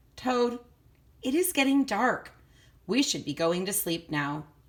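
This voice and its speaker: A woman uses a put-on character voice, fairly high in pitch with very wide pitch swings. She speaks at a fairly slow pace in a very clean recording with a silent background. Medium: read story.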